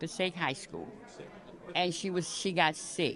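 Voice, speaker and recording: The speaker talks at a moderate pace with an American accent. Crowd noise can be heard in the background. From US South. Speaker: senior citizen interviewee. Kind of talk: oral history interview. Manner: halting.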